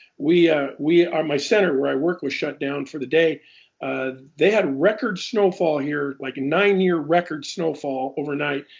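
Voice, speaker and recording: A man's fairly high voice with a Pacific Northwest accent and ordinary pitch variation. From Alaska (Juneau). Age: 60s. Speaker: retired aviation professional. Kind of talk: interview. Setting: Skype call. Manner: halting, many fillers.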